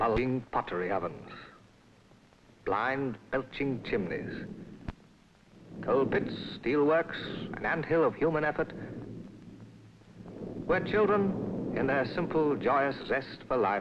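A man at a very slow pace, fairly high-pitched, with very wide pitch swings, very even loudness, long and frequent pauses, and noticeable background noise. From England. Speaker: narrator. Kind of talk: documentary film narration. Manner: soothing. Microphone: old recording.

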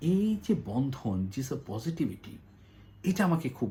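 Using vocal fry, a man talks in a dark, mellow tone with very wide pitch swings. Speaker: journalist and news commentator. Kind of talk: solo news analysis monologue. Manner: halting, many pauses.

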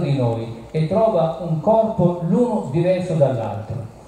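A man with a high pitch is heard in strong room echo over light background noise. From Tuscany, Italy (Arezzo). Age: 60s. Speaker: nutritionist doctor. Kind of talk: public talk. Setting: outdoor event with audience. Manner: emphatic. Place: stage.

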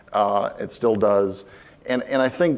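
A man is speaking with an American accent. His pitch is medium. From Florida. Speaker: space industry executive; conference speaker. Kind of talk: conference talk. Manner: halting, many fillers. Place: stage. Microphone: lapel.

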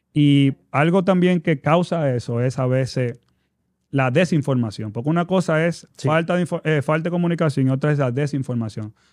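A quiet background behind speech at a moderate tempo with ordinary pitch variation. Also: man, fairly high pitch for a man. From Dominican Republic. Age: 30s. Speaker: basketball player and players' association president; guest. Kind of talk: casual interview. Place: studio. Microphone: studio mic.

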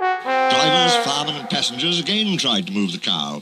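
The recording features an unforced reading voice.

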